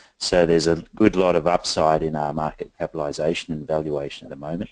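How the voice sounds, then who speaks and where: In an Australian accent, a man speaks at a very fast pace in a very deep, low voice, monotone and flat in intonation. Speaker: company founder and director presenting to investors. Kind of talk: investor presentation. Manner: many filler words (um, uh).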